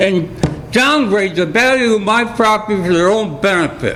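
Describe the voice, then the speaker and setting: Noticeable background noise and audible room echo around a man's high voice, delivered at a middling speed. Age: 60s. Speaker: resident speaking at public comment, veteran. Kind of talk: public comment at council meeting.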